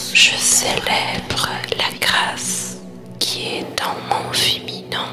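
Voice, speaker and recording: Whispering at a very slow pace in a calm tone, with music in the background. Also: woman. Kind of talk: guided meditation. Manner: soft-spoken, calm.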